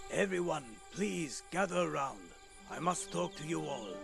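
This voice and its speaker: A man's put-on character voice at a moderate pace, with clear music in the background. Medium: fan dub. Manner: solemn, careful.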